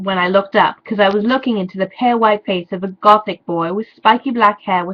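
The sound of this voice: Reading voice, unforced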